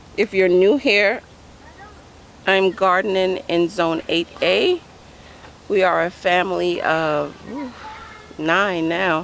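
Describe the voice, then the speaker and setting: A woman talks at a very slow pace with long, frequent pauses and ordinary pitch variation. Noticeable background noise runs beneath her. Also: medium pitch for a woman. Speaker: home gardening vlogger. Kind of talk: casual vlog walkthrough. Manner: loud; halting with many fillers.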